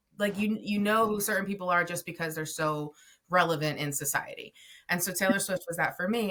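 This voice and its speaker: A woman's fairly low, bright, sharp voice at a fairly quick pace, with ordinary pitch variation. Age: 30s. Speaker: podcast host. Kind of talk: casual interview chat. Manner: rambling, filler-heavy.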